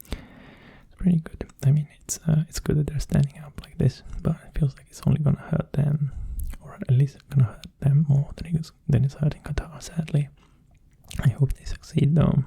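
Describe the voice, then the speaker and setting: Soft-spoken and relaxed, a man with a fairly high pitch talks at a moderate pace in a dark, mellow, somewhat breathy tone, his intonation monotone and flat. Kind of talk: ASMR ramble. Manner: relaxed, calm.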